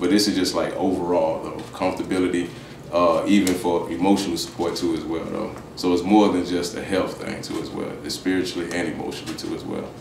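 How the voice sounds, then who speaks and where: A man with a very deep, low pitch talks at a very fast pace, with audible room echo and light background noise. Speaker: guest. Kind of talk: interview answer. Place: home room.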